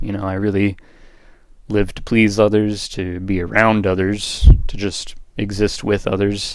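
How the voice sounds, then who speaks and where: A man with a fairly low pitch is heard on a very clean recording with a silent background. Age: 20s. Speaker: student giving class presentation. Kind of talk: recorded class presentation. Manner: casual, conversational.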